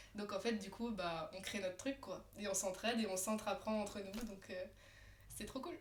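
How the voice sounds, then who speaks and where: Room echo is audible, and there is noticeable background noise. A woman talks at a moderate pace and medium pitch with ordinary pitch variation. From France, Alsace (Colmar). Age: 20s. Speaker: tattoo artist. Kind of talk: casual chat. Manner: animated, many fillers.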